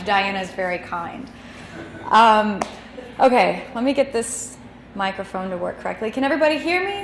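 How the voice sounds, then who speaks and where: With an American accent, a woman of medium pitch talks at a fairly quick pace. Audible room echo and noticeable background noise are present. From Texas (DeSoto, south of Dallas). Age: 20s. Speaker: cartoonist, editor and designer. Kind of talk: lecture. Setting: stage with audience, microphone and projector. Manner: loud, voice carries.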